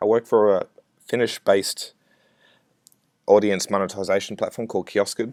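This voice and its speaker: A man with an Australian accent speaks at a fairly low pitch and moderate pace, with monotone, flat intonation. Long, frequent pauses break up his speech, and the sound is dry and close with no echo. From Australia, Brisbane. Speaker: software developer. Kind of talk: conference talk. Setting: recorded remote presentation.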